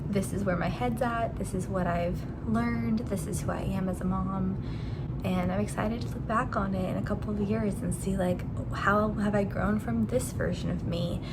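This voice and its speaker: With audible room echo and noticeable background noise, a woman speaks at a moderate pace. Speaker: stay-at-home mom vlogger. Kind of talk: casual vlog talk.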